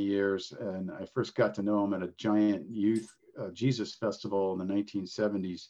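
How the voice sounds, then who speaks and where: A man with a normal speaking voice talks at a fairly quick pace and a fairly low pitch. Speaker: podcast host. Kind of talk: interview conversation.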